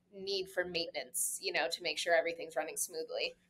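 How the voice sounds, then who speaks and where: The voice has a bright, sharp tone and a South Florida accent. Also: woman. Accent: American, South Florida. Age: 20s. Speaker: real estate broker. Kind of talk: casual interview chat. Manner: fast, casual with many fillers.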